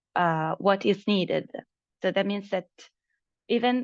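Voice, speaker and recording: An ordinary speaking voice at a moderate pace, with ordinary pitch variation. The background is quiet. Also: woman. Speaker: project presenter. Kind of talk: online meeting presentation.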